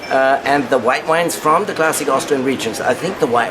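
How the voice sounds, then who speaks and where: A man talks at a fairly quick pace in a medium pitch, with audible room echo and noticeable background noise. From Upper Austria. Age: 60s. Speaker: wine marketing director. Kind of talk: interview. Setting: press room at wine conference. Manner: halting, many fillers.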